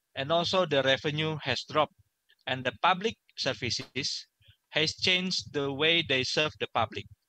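The man's bright, sharp tone comes through a dry sound with no echo as he speaks at a fairly slow pace with ordinary pitch variation. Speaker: presenter. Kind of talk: webinar presentation. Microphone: headset.

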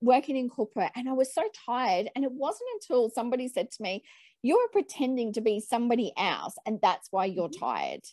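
A woman with an Australian accent talks at a fairly quick pace in a high pitch. Her intonation is lively, and the background is quiet. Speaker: podcast host. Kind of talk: casual interview. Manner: enthusiastic. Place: home room. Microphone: earbuds.

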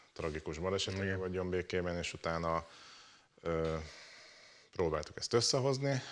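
A man speaks with ordinary pitch variation. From Hungary, Mátra region; Hungary. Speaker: rally co-driver; talk show guest. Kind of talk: talk show interview. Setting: studio. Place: studio. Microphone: lapel.

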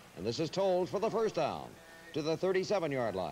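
With music in the background, this man's speech moves at a moderate pace. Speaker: radio play-by-play announcer. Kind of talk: live radio football play-by-play commentary. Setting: radio broadcast of a college football game, 1981 archive. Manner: brisk, rhythmic, announcer cadence calling each down, yard line and gain; measured and clear, building excitement at big plays.

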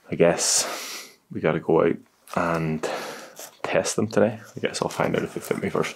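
A man talks at a moderate pace with a very deep, low pitch. His pitch varies in an ordinary way. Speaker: vlogger. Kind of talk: casual vlog chat. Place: home room.

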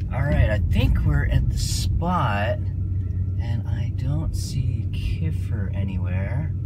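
Loud background noise surrounds the recording. A man speaks at a very slow pace. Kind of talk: casual vlog chat. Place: car. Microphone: phone near.

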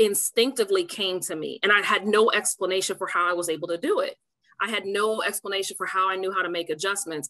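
Against a quiet background, a woman speaks in a bright, sharp tone with fairly even intonation. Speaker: now coach. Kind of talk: interview answer. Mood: warm, often laughing. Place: home room. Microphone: video call.

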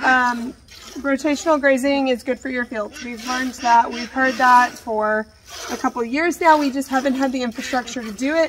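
Noticeable background noise sits behind a woman whose high pitch carries fairly even intonation. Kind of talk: casual vlog chat. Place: farm machine. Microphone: earbuds.

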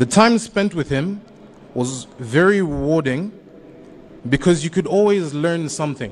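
Slowly, a man speaks in a fairly high voice. His pitch varies in an ordinary way.

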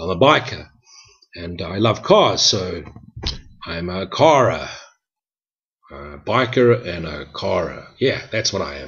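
With a very deep, low pitch, a man talks at a fairly slow pace, leaving long, frequent pauses and making big swings in loudness over a quiet background. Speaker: spiritual teacher. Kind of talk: reflective spoken teaching. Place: home room. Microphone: webcam.

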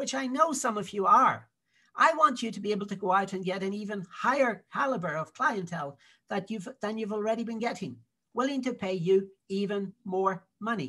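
Using a raised, projected voice, a man with a Dublin accent speaks at a moderate pace with a high pitch and a bright, sharp tone. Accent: Dublin Irish. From Ireland, Dublin. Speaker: digital marketing consultant. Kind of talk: sales pitch.

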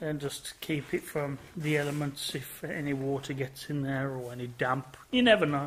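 A man's somewhat breathy voice with fairly even intonation and hardly any pauses over light background noise. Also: moderate pace. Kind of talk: casual vlog chat. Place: workshop. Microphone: phone near.

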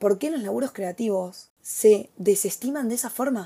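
A woman's dark, mellow, somewhat breathy voice in a Rioplatense accent, with lively intonation. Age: 20s. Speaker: influencer and podcast host. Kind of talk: casual solo podcast monologue. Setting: home desk recording. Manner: animated.

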